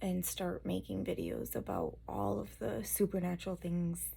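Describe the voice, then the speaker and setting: A woman whispers quietly at a moderate pace. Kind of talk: personal testimony talk to camera.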